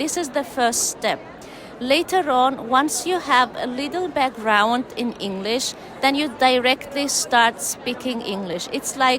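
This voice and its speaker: A woman's high voice at a fairly slow pace, with ordinary pitch variation and noticeable background noise. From Turkmenistan. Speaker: English teacher. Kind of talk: conference interview.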